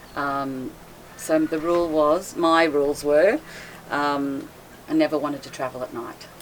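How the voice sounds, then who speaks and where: Speaking fairly slowly with long, frequent pauses, a woman with an Australian accent has a very deep, low pitch over noticeable background noise. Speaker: boat owner, liveaboard cruiser. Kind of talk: casual interview chat. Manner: loud voice.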